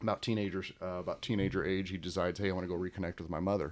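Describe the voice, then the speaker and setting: With an American accent, a man speaks at a very fast pace with a very deep, low pitch and monotone, flat intonation. The recording is very clean, with a silent background. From Illinois, Alton-Godfrey area. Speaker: police officer. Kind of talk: casual interview.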